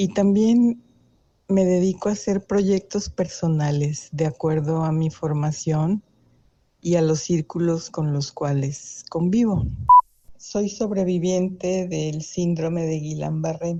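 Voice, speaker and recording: With a dark, mellow tone and a fairly low pitch, a woman speaks at a very slow pace. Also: ordinary pitch variation. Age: 60s. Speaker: retired academic and ethnomusicologist. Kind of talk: interview.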